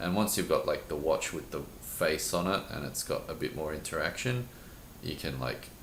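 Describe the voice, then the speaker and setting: A man at a moderate pace, with audible room echo. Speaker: teacher and podcast co-host. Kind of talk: casual chat.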